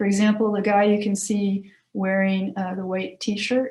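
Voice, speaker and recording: The woman's voice is somewhat breathy and medium in pitch. She talks at a moderate pace. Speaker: university career services staff presenter. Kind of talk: presentation at committee meeting.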